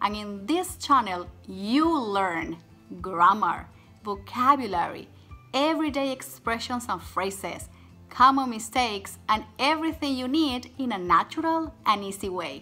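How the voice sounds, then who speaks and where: A woman speaks at a fairly slow pace and a fairly high pitch. Her pitch swings very widely over faint background music. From Venezuela. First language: Spanish. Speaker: Spanish teacher. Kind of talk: channel trailer to camera. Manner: upbeat. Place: home room. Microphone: phone near.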